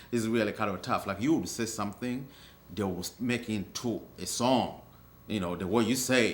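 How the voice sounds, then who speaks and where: A man speaks with a strong African accent at a fairly low pitch. His pace is moderate and his pitch variation ordinary. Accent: thick African. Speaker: African immigrant interviewee. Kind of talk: documentary interview.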